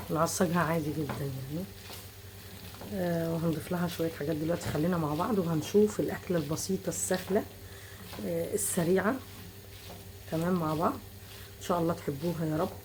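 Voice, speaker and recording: A woman with a fairly low pitch talks at a moderate pace with lively intonation and long, frequent pauses, in a room with audible echo. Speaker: cooking channel host. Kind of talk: cooking tutorial. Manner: casual.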